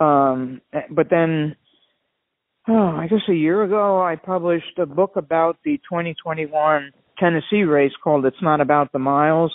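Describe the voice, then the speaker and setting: A woman talks at a moderate pace. Her voice is fairly low, with ordinary pitch variation. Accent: Long Island. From New York, Long Island. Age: 70s. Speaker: doctor and ultra endurance athlete. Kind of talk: interview.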